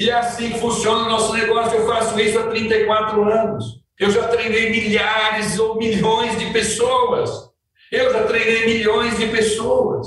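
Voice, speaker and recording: A man speaks at an extremely high pitch with monotone, flat intonation. His pace is fairly slow, and audible room echo surrounds him. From Brazil, rural countryside. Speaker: company president, sales trainer. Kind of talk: motivational sales training. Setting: outdoors at his family farm. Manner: emphatic.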